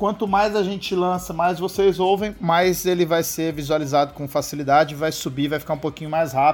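Speaking at a fairly quick pace with hardly any pauses, a man talks in a fairly high voice. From São José do Rio Preto, interior of São Paulo. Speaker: podcast host. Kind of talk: casual chat. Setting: outdoors on a rooftop. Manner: animated, slangy.

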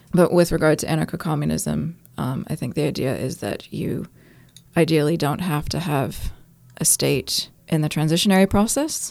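A woman with an American accent speaks at a moderate pace, her pitch very deep and low with vocal fry. Her pitch varies in an ordinary way. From US (New York, California). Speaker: anarchist group member, podcast co-host. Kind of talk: casual discussion.

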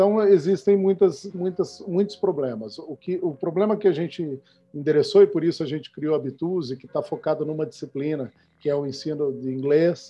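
Big swings in loudness mark a man's fairly high-pitched speech, which moves at a moderate pace with ordinary pitch variation. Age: 40s. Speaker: startup founder and CEO. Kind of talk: interview. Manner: halting, frequent repetitions.

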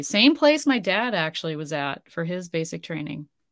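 A woman with an Upper Midwest accent speaks at a moderate pace. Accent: Upper Midwest American. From US Midwest, North Dakota. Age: 40s. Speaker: grief coach and army veteran. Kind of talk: casual interview.

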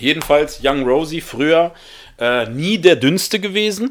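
The man's tone is animated, with very wide pitch swings. His pace stays moderate. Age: 30s. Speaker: podcast host. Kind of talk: solo podcast monologue. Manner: halting.

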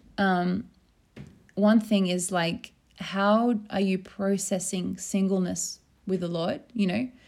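Speaking very slowly with fairly even intonation, a woman with an Australian accent is heard in a very clean recording with a silent background. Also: medium pitch for a woman. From rural Australia. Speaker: podcast host. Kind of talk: casual chat.

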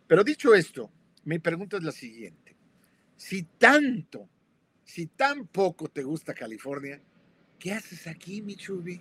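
A man with a high pitch speaks at a fairly slow pace, taking long, frequent pauses. His pitch swings very widely, his loudness swings a lot, and the sound is dry and close with no echo. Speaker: co-host. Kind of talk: live talk show discussion. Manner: jovial.

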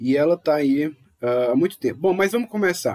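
The sound is dry and close, with no echo. A man speaks at a fairly high pitch with lively intonation. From Brazil. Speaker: podcast host. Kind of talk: casual podcast discussion.

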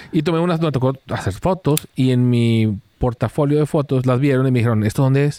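At a moderate pace and medium pitch, a man speaks with a dark, mellow tone and lively intonation in a dry, close sound with no echo. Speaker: podcast co-host, photographer. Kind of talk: casual chat. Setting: rented cabin, Nuevo León.

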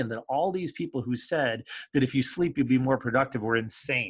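A man with an American accent speaks at a fairly quick pace, somewhat breathy, with ordinary pitch variation. The background is quiet. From Michigan, US Midwest (Kalamazoo area). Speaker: creativity and business coach. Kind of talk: interview conversation.

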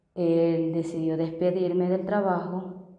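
At a very slow pace, a woman speaks in a fairly low pitch with monotone, flat intonation, and the room echo is audible. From Venezuela. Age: 30s. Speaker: migrant street vendor. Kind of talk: testimony. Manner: halting.

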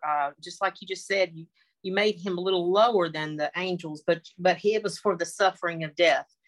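A woman with a Southern US accent, fairly quick pace, medium pitch, dry, close sound with no echo. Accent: Southern American. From US South (North Carolina). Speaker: Bible study participant. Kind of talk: Bible study discussion. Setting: video call. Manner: halting.

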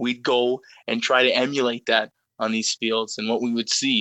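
A man at a medium pitch speaks with a Canadian accent. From Greater Toronto Area, Canada. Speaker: soccer podcast co-host and youth coach. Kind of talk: casual chat. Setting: phone call. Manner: animated.

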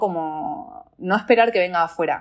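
A woman with a fairly low pitch speaks on a very clean recording against a silent background. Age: 20s. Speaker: life coach. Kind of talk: interview conversation.

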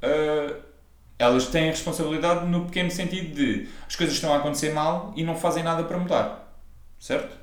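With audible room echo, a man speaks at a moderate pace in a high pitch that varies an ordinary amount. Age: 20s. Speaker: personal trainer and podcast co-host. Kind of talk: casual chat.

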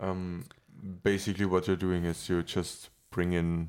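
Very deep, low-pitched male speech at a fairly slow pace in a monotone, flat intonation, in a very clean recording with a silent background. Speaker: podcast host. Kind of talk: casual chat.

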